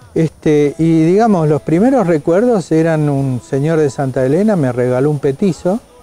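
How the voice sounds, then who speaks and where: A man talks at a fairly slow pace with a fairly high pitch. Music plays in the background. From Argentina, Córdoba. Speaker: interviewee. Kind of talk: interview.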